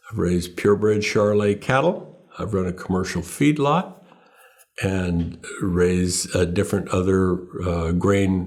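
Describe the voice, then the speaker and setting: Speaking fairly slowly, a man with an American accent has a very deep, low pitch. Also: ordinary pitch variation. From Northern California, Sacramento Valley. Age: 70s. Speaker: farmer and rancher. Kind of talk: interview.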